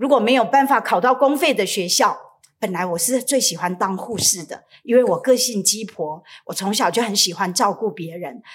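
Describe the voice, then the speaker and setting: A woman's fairly high voice with lively intonation, in a Taiwanese accent. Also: moderate pace. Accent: Taiwanese Mandarin. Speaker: pastor. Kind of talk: sermon.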